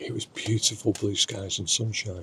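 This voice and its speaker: Soft-spoken and monotone, a man with a fairly low pitch talks at a moderate pace in a flat intonation. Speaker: wildlife photographer and vlogger. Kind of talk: casual vlog narration. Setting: inside a wildlife photography hide. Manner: quiet, speaking softly.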